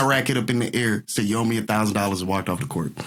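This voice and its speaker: A man talks with an American accent. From US South (Texas and Mississippi). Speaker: entertainer. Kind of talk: casual interview chat.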